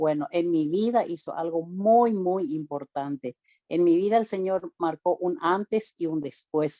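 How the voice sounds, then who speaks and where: A woman speaks in a fairly low, dark and mellow voice with ordinary pitch variation, recorded dry and close with no echo. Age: 60s. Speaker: church speaker giving testimony. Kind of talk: testimony. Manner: emotional.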